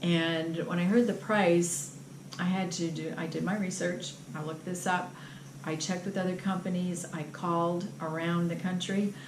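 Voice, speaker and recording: A woman speaks at a moderate pace in a fairly low pitch with monotone, flat intonation. Audible room echo and noticeable background noise surround her voice. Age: 60s. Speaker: patient testimonial. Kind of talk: testimony.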